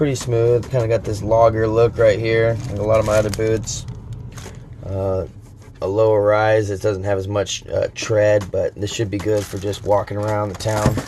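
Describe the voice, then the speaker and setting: Over noticeable background noise, a man with an American accent talks at a moderate pace in a fairly low, monotone, flat voice. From California. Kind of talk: casual review talk to camera.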